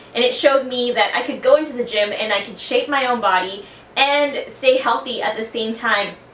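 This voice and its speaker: A woman with an American accent speaks at a high pitch with fairly even intonation. Audible room echo and noticeable background noise are present. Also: moderate pace. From South Texas. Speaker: fitness competitor. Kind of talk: personal testimony.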